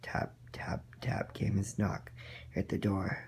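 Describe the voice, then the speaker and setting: A man whispers in a raspy, put-on character voice. He goes at a very slow pace. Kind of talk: bedtime story. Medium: read story.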